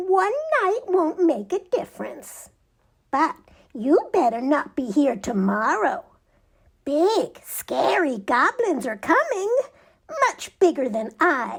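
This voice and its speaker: In a put-on character voice, a woman sounds squeaky and high-pitched, with very wide pitch swings, a fairly slow pace and long, frequent pauses. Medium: read story.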